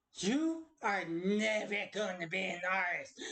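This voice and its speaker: A put-on character voice at a fairly slow pace. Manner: angry, harshly belittling.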